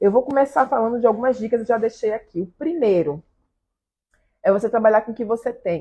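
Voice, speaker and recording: Delivered at a very fast pace, the speech has an animated tone and ordinary pitch variation. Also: woman. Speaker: pastry chef teaching macaron making. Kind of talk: live stream class. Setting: live stream. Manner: loud.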